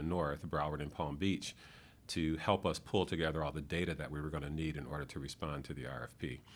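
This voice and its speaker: Speaking with an American accent at a very fast pace, a man uses a very deep, low pitch marked by vocal fry. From Michigan. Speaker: economic development executive. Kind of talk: interview. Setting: office.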